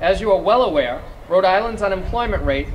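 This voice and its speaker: A man speaks with a Massachusetts accent. The room echo is audible, and there is noticeable background noise. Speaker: small business advocacy coordinator. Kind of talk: rally speech.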